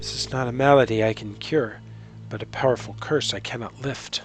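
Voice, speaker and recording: Over clear background music, a man mumbles at a fairly quick pace in a put-on character voice of medium pitch. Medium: actual play. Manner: mumbling, apprehensive.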